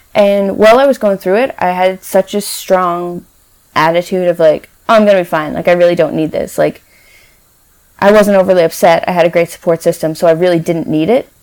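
In an ordinary speaking voice, a woman of medium pitch talks at a fairly quick pace with fairly even intonation. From Newfoundland, Canada. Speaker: cancer survivor. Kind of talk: interview.

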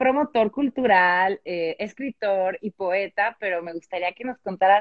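A woman's medium-pitched voice in a Mexican accent. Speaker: publisher. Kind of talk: casual chat.

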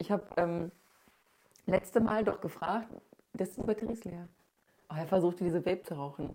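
Long, frequent pauses break up a woman's fairly quick speech, her medium-pitched voice dark and mellow in tone with ordinary pitch variation. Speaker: podcast host. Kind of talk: casual chat.

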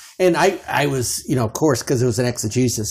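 In a very clean recording with a silent background, a man with an American accent speaks at a moderate pace and medium pitch, somewhat breathy, with a dark, mellow tone. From Chicago suburbs, US Midwest. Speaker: guest, parent, former student. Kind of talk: casual interview conversation.

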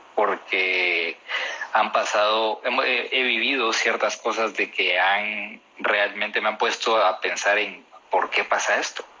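Very slow delivery with fairly even intonation and very even loudness, over noticeable background noise. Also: man, fairly low pitch for a man. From Guatemala. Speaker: barista and coffee taster. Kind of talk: interview.

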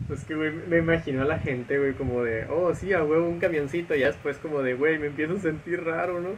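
Against noticeable background noise, a man talks at a fairly quick pace with hardly any pauses and fairly even intonation. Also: fairly high pitch for a man. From Mexico. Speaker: podcast co-host. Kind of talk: casual chat.

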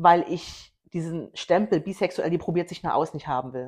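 Over a quiet background, a woman talks at a moderate pace. Her voice is fairly low in pitch with ordinary pitch variation. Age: 30s. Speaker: podcast co-host. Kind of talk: casual chat.

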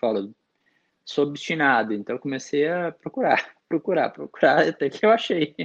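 This man has a plain, everyday voice, pitched fairly high, with lively intonation. He talks at a moderate pace in dry, close sound with no echo. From interior of São Paulo state (Araras). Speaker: sommelier, national champion. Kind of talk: casual interview chat. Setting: remote recording.

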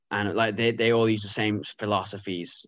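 The speaker has an Irish accent and a fairly slow pace. The background is quiet. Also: man. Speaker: cyclist. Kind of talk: casual chat.

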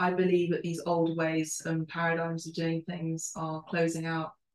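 A woman with a London accent speaks at a fairly slow pace. Her voice is fairly low-pitched. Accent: British English, London. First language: Spanish and Italian. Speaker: podcast host. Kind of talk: casual interview.

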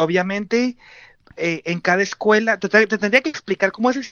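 A man is speaking. His pace is moderate. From Mexico, Tijuana. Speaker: expatriate interviewee. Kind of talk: interview.

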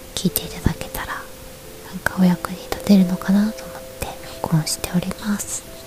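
Over noticeable background noise, a woman with a medium pitch talks fairly quickly in a fairly even intonation, her loudness swinging widely and her speech broken by long, frequent pauses. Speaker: podcaster. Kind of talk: bedtime talk radio. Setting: in bed under a futon. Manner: soft-spoken.

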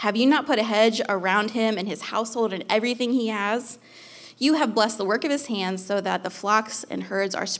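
The voice reads in an unforced way. Pitch variation is ordinary.

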